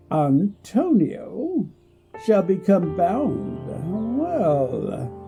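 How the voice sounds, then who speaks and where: A man speaks very slowly in a put-on character voice, high-pitched for a man, with faint music in the background. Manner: slow, deliberate, pondering.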